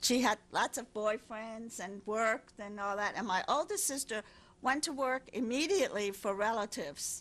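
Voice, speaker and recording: A woman with a German accent, fairly high pitch, ordinary pitch variation and a moderate pace, in a very clean recording with a silent background. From Germany. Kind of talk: interview answer.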